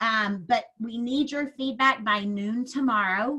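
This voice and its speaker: A woman speaks at a high pitch with a bright, sharp tone and ordinary pitch variation. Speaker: network marketing presenter. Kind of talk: sales presentation on a video call. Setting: video call. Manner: hesitant, many fillers.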